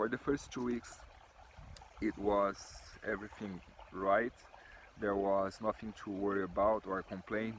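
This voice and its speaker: Man with a Brazilian accent, fairly low pitch, monotone, flat intonation, fairly slow pace and long, frequent pauses. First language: Portuguese. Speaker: builder. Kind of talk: testimony. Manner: halting.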